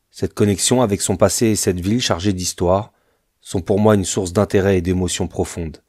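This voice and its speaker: A man with a very deep, low voice talks rather quickly, keeping his intonation fairly level. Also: very clean recording, silent background. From France. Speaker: travel vlogger. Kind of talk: scripted narration. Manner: formal.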